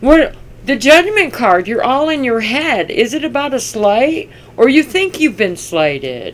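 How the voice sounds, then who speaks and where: Very wide pitch swings at a very slow pace over noticeable background noise. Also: woman. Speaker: tarot reader. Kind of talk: tarot reading.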